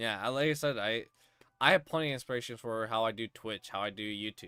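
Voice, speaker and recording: This man speaks at a very fast pace. His medium pitch shows ordinary pitch variation. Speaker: streamer and show host. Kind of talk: casual chat interview.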